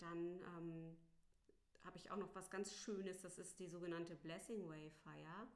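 A woman's fairly low voice, fairly slow and monotone with flat intonation, with audible room echo. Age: 40s. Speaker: doula. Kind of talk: interview. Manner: hesitant, many filler sounds.

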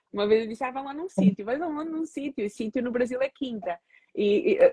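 Fairly quick, somewhat breathy speech from a woman. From Portugal, of Angolan parents. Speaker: psychologist. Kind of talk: casual interview on a social media live stream. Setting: social media live video stream.

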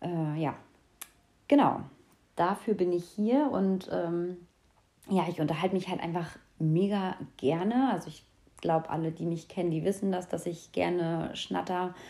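A woman speaks at a fairly slow pace with long, frequent pauses. Her fairly low voice has a dark, mellow tone and ordinary pitch variation. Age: 20s. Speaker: podcast host. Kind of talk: casual monologue. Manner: animated; filler-heavy.

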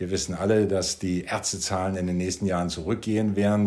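Talking at a fairly quick pace, a man with a very deep, low pitch keeps his intonation monotone and flat. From Sweden. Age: 60s. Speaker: cardiologist. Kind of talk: interview. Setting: studio table.

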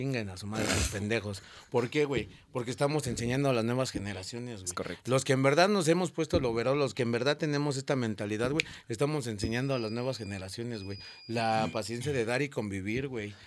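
The pitch varies in an ordinary way. The pace is very fast. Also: man, medium pitch for a man. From Mexico, Cana neighborhood (north). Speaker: TikToker and street sweeper. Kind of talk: casual interview.

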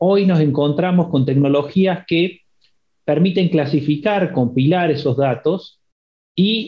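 The speaker is a man with a fairly high pitch. He talks at a very slow pace with ordinary pitch variation. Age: 40s. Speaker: university program director. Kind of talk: interview.

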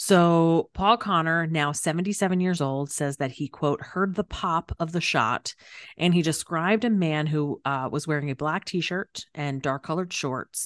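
A woman with an unremarkable speaking voice talks at a moderate pace in a fairly low pitch, her pitch moving in an ordinary way, with a dry, close sound, no echo and a quiet background. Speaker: true crime podcast co-host. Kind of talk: casual true crime storytelling chat. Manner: jokey, playful.

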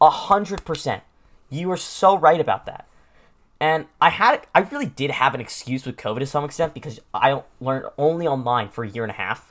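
In an American accent, a man with an unremarkable speaking voice talks at a fairly quick pace with a fairly high pitch, lively intonation, and big swings in loudness. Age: 20s. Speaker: podcast host and streamer. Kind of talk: casual solo podcast monologue.

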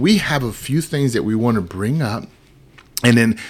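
A man speaks over noticeable background noise. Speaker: podcast host and producer. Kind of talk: casual chat. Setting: studio. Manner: animated, joking.

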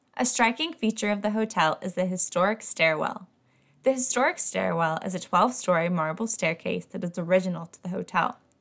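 A woman speaks fairly quickly in an unremarkable speaking voice of medium pitch. Her pitch varies in an ordinary way. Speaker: podcast host and teacher. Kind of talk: scripted haunted-history narration, storytelling tone. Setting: home recording, kitten audible. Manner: measured, clear, engaged storyteller.

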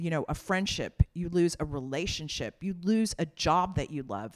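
Delivered at a moderate pace, it is a plain, everyday voice with lively intonation. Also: woman. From New York (Brooklyn). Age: 50s. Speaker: nonprofit co-founder. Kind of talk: interview. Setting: in-person recording.

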